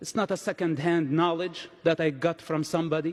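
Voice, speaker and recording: A man speaks with a non-native accent and a high pitch. His pace is fairly slow. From Palestinian territories. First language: not English. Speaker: conference speaker. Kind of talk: speech.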